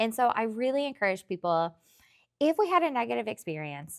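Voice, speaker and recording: A woman with a slight Tennessee accent speaks at a fairly quick pace, her pitch swinging very widely. The recording is very clean, with a silent background. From rural Tennessee. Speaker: therapist. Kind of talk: interview.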